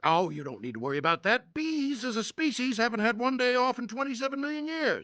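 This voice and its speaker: A man's cartoonish character voice at an extremely high pitch, very fast with hardly any pauses. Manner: blustery, brash.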